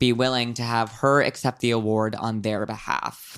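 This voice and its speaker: A man with a plain, everyday voice talks fairly slowly at a medium pitch. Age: 20s. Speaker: podcast co-host. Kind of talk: casual chat.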